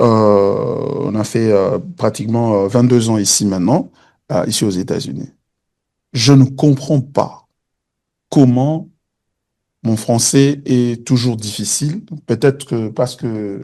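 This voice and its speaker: A man speaks at a very slow pace with long, frequent pauses, in a dark, mellow tone. His pitch is medium, with ordinary variation. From DR Congo, Kinshasa. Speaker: pastor. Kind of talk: teaching Q&A in church service. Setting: church service streamed online. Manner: hesitant, many fillers.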